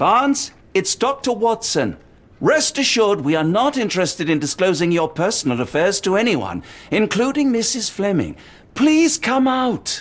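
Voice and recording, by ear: Putting on a character voice, a man speaks at a fairly slow pace with a high pitch and big pitch swings.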